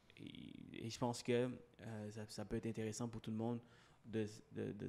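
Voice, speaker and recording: Slowish and fairly even in intonation, a man's medium-pitched voice has a dark, mellow tone. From Sri Lanka, moved to Quebec at 8. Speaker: mortgage broker and podcaster. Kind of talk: interview. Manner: halting.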